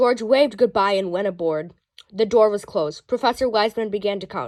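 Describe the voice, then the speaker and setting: A woman speaks with a fairly high pitch. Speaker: children's book reader. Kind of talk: reading aloud. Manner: occasional stumbles and restarts.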